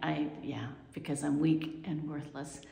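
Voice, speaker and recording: Speaking at a fairly slow pace, a woman has a very deep, low pitch, with audible room echo over a quiet background. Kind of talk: casual vlog chat. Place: home room. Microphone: phone near.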